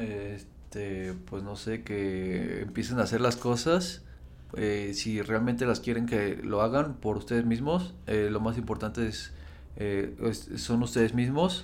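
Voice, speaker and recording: Very slow speech comes through with audible room echo. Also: man. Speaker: podcast co-host, online entrepreneur. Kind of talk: casual chat.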